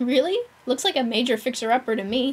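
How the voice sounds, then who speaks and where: A woman's put-on character voice, high in pitch, at a very fast pace. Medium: game stream. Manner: upbeat, slangy.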